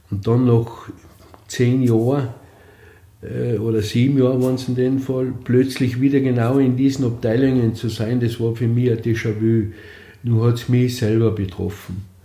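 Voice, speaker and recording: A man speaks at a moderate pace in a medium pitch, his tone dark and mellow and somewhat breathy, with flat, monotone intonation. Long pauses come often, and the room echo is audible. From Austria, East Tyrol (Lienz area). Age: 60s. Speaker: cancer patient. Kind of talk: interview testimony.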